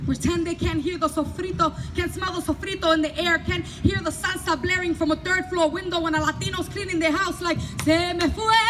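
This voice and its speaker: Noticeable noise sits in the background. The talking moves along fairly quickly. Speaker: performance poet. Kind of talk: spoken word poetry performance. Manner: loud; animated.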